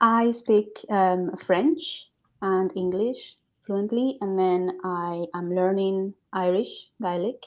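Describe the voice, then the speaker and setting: At a very slow pace, a woman with a Spanish accent speaks at medium pitch with ordinary pitch variation. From Spain, Burgos, Castile. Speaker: language coach and author. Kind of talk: interview. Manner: hesitant, many fillers.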